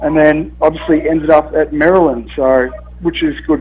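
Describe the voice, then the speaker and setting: An Australian accent marks this man's speech. He talks at a moderate speed. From Australia, Melbourne. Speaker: college football punter. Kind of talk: radio interview.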